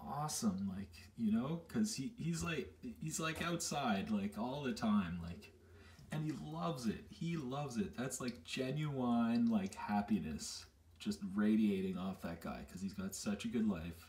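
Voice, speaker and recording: Over light background noise, a man speaks at a fairly slow pace with very wide pitch swings. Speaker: vlogger. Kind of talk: casual vlog chat. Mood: cheerful, laughing. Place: bathroom. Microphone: phone near.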